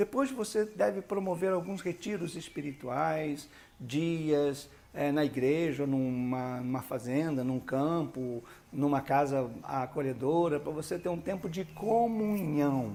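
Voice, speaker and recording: Speaking at a very slow pace, a man uses a fairly high pitch, a dark, mellow tone and lively intonation. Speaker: bishop, church leadership teacher. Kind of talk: lecture.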